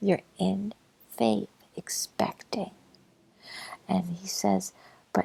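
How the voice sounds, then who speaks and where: The voice is a soft-spoken whisper. It moves at a very slow pace. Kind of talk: religious commentary, talking to listener. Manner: softly whispered.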